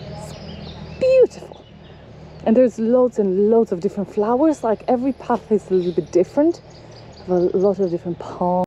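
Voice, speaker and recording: A woman speaks in a medium pitch at a fairly quick pace, with ordinary pitch variation and long, frequent pauses. Noticeable background noise is present. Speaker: travel vlogger. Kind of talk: walking tour vlog. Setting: outdoors walking in a park. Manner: animated.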